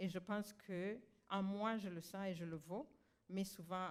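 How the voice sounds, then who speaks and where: Using an ordinary speaking voice, a woman speaks at a fairly slow pace in a fairly low pitch with fairly even intonation. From Rwanda. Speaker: honoree and activist. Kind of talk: ceremony acceptance speech. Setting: graduation ceremony with audience.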